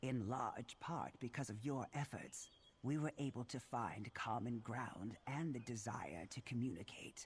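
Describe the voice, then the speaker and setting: Putting on a character voice, a man speaks at a moderate pace in a medium pitch. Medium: video game. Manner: formal, measured.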